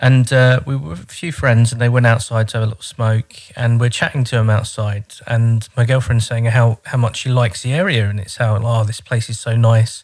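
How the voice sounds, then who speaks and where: This man has a London accent and a fairly quick pace. His intonation stays fairly even. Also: medium pitch for a man, big swings in loudness. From London (Croydon), England. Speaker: immigrant learner. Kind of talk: casual chat.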